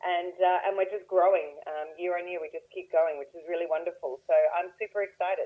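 The woman's pitch is fairly low and her intonation flat and monotone. Her loudness swings a lot. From Australia. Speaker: real estate investor. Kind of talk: interview. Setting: phone call.

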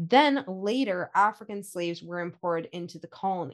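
A plain, everyday voice with a Canadian accent moves at a moderate pace with ordinary pitch variation. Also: woman. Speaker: podcast co-host, heritage organization staff. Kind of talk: scripted history podcast narration.

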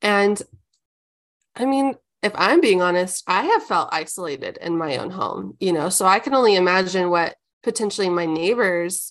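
A woman with an American accent, a plain, everyday voice, medium pitch, ordinary pitch variation and a fairly slow pace. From Omaha, Nebraska. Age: 30s. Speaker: ministry community leader. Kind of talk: casual chat.

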